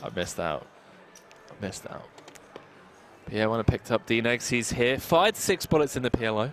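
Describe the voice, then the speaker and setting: Against noticeable background noise, a man speaks with lively intonation and long, frequent pauses. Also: fairly quick pace. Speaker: poker commentator. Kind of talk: live commentary. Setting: commentary booth.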